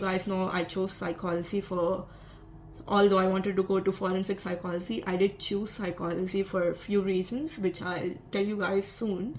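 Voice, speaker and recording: A woman's medium-pitched voice with a Telugu accent and fairly even intonation, over noticeable background noise. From South India. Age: 20s. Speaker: vlogger, psychology student. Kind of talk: casual vlog monologue.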